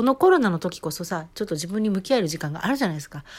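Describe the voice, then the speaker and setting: A woman at medium pitch, very fast, with an animated tone and lively intonation. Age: 40s. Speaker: podcaster and amateur singer. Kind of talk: casual solo monologue.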